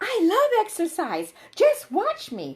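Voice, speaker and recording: A woman puts on a squeaky character voice with an extremely high pitch, speaking at a fairly slow pace. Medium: read story.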